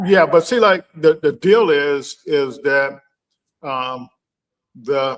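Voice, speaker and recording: Speaking with ordinary pitch variation, a man uses a fairly high pitch. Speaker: startup program organizer. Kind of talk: casual interview chat. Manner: halting, many fillers and repetitions.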